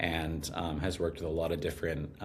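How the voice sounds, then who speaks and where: A man speaks with a very deep, low pitch. His voice is somewhat breathy and his pace moderate. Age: 20s. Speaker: copywriter and musician. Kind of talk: casual interview conversation. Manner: many fillers, hesitant.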